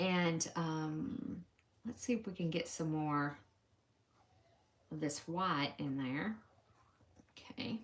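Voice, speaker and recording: A woman with a Southern US accent, fairly low pitch, lively intonation, very slow pace, long and frequent pauses. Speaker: crafter demonstrating embroidery. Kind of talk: live stream stitch-along. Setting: home live stream. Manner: casual, chatty.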